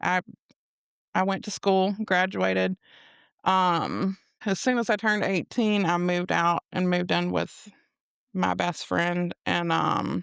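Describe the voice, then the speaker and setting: A woman speaks at a fairly slow pace with long, frequent pauses and very even loudness, the recording very clean with a silent background and dry and close with no echo. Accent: Alabama. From US South, Mobile, Alabama. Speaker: guest sharing personal testimony. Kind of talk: casual testimony interview.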